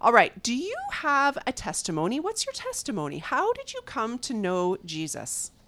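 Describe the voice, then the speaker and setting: A woman talks at a moderate pace in a warm, enthusiastic tone with hardly any pauses and big swings in loudness, in a very clean recording with a silent background. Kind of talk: casual chat, interview.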